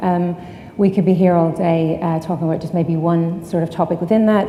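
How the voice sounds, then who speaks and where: A woman's fairly low voice in an Irish accent, monotone and flat, at a very fast pace, with audible room echo and noticeable background noise. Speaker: sustainability consultant. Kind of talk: conference talk. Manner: frequent filler ums.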